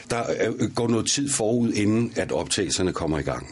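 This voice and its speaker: Moderate pace from a male speaker, with noticeable background noise. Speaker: actor and voice actor. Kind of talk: interview. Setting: studio.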